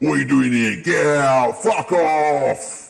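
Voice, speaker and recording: Using a put-on character voice, a man speaks in a fairly high pitch at a fairly slow pace. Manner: angry, hostile.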